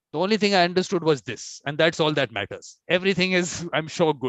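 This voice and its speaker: A man with an Indian accent speaks at a fairly quick pace. His pitch is high, with ordinary variation. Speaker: conference host, mediator. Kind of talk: casual chat. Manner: fast.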